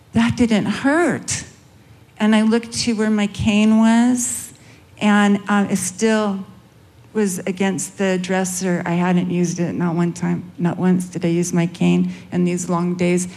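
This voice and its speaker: At a very slow pace, a woman with a Californian accent speaks in a medium pitch with ordinary pitch variation and very even loudness. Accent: California drawl. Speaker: guest sharing testimony.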